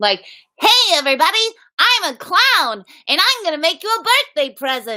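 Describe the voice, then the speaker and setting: Putting on a character voice, a woman speaks at an extremely high pitch with very wide pitch swings, a moderate pace, and long, frequent pauses. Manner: silly, funny voice.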